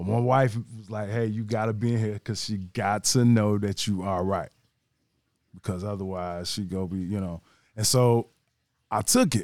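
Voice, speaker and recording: A man's unremarkable speaking voice, fairly low in pitch, at a moderate pace with fairly even intonation, on a very clean recording with a silent background. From Gary, Indiana. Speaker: IT worker and cook. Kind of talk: testimony.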